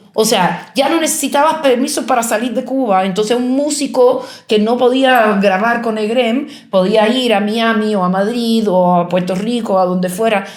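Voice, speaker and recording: A woman with a fairly high pitch and ordinary pitch variation keeps her loudness very even, with audible room echo in the space. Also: moderate pace. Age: 60s. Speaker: artist and writer. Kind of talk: interview. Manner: halting, many false starts and fillers.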